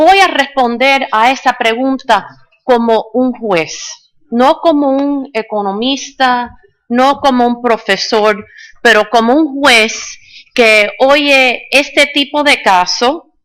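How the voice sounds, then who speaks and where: At a very slow pace, a woman talks in a high voice with ordinary pitch variation. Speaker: judge. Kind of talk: conference talk. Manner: halting, with fillers.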